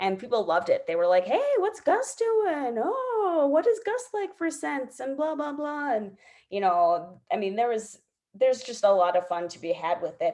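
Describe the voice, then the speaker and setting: A woman speaks in a high pitch with a dark, mellow tone. Her pitch swings very widely. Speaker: direct sales team leader. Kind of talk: team training video call. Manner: fast.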